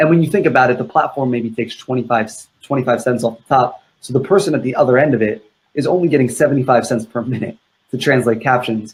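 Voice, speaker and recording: A very fast pace, somewhat breathy, with ordinary pitch variation. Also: man, medium pitch for a man. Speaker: video marketing expert. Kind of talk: live Q&A interview.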